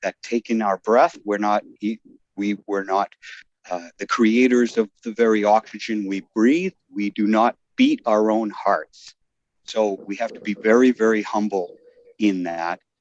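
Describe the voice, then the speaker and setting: A man speaks at a fairly low pitch and a fairly slow pace, his intonation fairly even, in a dry, close sound with no echo. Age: 60s. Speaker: devotee sharing in a scripture class. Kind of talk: class discussion testimony. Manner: halting, many fillers and restarts.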